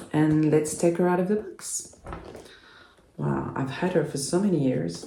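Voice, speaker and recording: There is audible room echo around a woman's voice. She talks at a fairly slow pace. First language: French. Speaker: doll collector YouTuber. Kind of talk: unboxing video. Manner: hesitant, many fillers.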